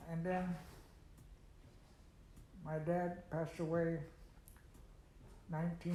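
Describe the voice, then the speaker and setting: A man with an American accent has a high pitch, a dark, mellow tone and a monotone, flat intonation. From United States (Pittsburgh, Pennsylvania). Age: 80s+. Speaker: World War II veteran. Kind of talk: oral history interview answer.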